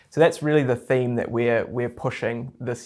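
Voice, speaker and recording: Someone with a New Zealand accent talks at a fairly quick pace on a very clean recording with a silent background. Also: man. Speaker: real estate investment advisor. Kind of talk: interview.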